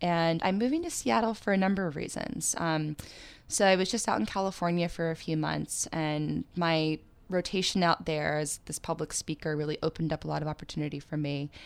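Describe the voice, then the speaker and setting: This woman has an ordinary speaking voice, fairly low in pitch, with an American accent and ordinary pitch variation. She talks at a fairly quick pace on a very clean recording with a silent background. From Pennsylvania. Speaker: brand creative lead and yoga teacher. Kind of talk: interview, personal story.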